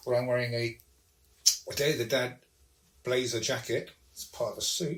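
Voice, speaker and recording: A man talks at a moderate pace with a medium pitch. His voice is somewhat breathy, and his intonation is fairly even. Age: 60s. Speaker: podcast guest. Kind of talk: casual chat.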